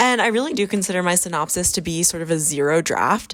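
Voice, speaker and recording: A woman's medium-pitched voice at a moderate pace with ordinary pitch variation, in a very clean recording with a silent background. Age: 20s. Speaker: novelist vlogger. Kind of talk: casual vlog narration. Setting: coffee shop.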